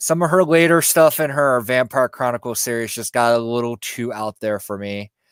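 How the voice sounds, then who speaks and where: A man with a medium-pitched voice and ordinary pitch variation speaks with hardly any pauses, recorded with a dry, close sound and no echo. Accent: slight Southern US. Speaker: YouTube spiritual content creator. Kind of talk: casual interview chat. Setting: live stream video call. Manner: hesitant, many fillers.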